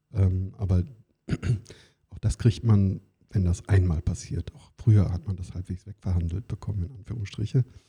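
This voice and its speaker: With a very deep, low pitch and a dark, mellow, somewhat breathy tone, a man speaks at a moderate pace with fairly even intonation, big swings in loudness and long, frequent pauses, the sound dry and close with no echo. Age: 50s. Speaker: employment lawyer. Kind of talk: interview.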